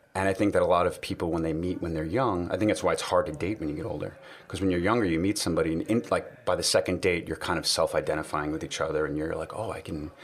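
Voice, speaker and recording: A man with a slight New York accent talks at a very fast pace. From New York City. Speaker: podcast guest. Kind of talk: casual chat. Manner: relaxed, conversational.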